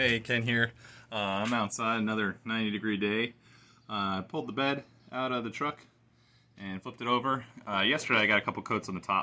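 With a bright, sharp tone, a man talks at a fairly quick pace and fairly even intonation. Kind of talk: casual vlog chat. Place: street. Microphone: phone near.

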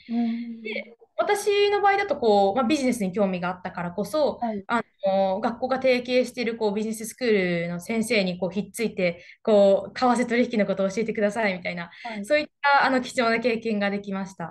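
A woman with a fairly high pitch speaks at a fairly quick pace with hardly any pauses and ordinary pitch variation over a quiet background. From Japan. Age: young. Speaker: interview guest. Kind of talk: interview. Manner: confident. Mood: cheerful, smiling. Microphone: webcam.

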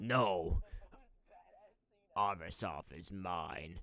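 This is a put-on character voice, raspy in texture. The pitch is very deep and low. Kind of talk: dramatic cutscene dialogue.

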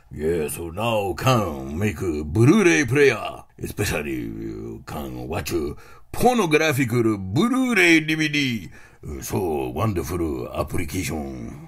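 Using a put-on character voice, a man speaks very slowly at a very deep, low pitch, with big swings in loudness. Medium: comedy sketch. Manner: excitable, insistent, clipped.

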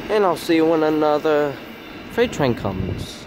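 At a fairly slow pace, a man with a fairly high pitch and a slightly mellow tone makes big pitch swings over faint background noise.

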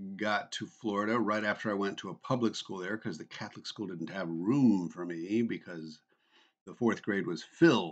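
A man with a normal speaking voice talks at a fairly low pitch. The background is quiet. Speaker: vlogger. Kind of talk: casual vlog chat. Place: home room. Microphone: webcam.

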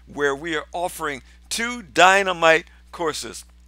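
Against a quiet background, a man's bright, sharp tone comes through in a dry sound with no echo. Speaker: pastor. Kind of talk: promotional address to viewers. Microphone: headset.

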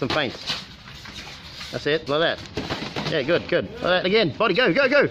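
A man's voice with very wide pitch swings, over noticeable background noise. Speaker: boxing coach. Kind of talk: shouted coaching instructions. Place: gym. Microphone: phone near.

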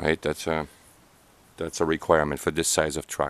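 A man's voice comes through with a dry sound and no echo. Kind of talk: casual vlog chat. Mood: nervous, amused. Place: street.

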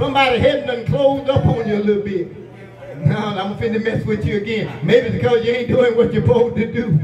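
A high-pitched man with an American accent, animated and very fast, with ordinary pitch variation, audible room echo, and light background noise. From US South. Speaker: pastor. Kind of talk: sermon. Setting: church. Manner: animated, call-and-response preaching, pausing for congregation's 'amen'; rising, rhythmic, exhorting cadence with punctuating 'ha' breaths. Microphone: camera far.

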